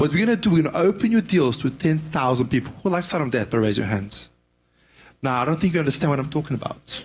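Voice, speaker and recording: Speaking at a very fast pace with a non-native accent, a man uses lively intonation in a fairly high, somewhat breathy voice. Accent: foreign. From Serbia. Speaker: property investor. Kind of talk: audience pitch. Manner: halting.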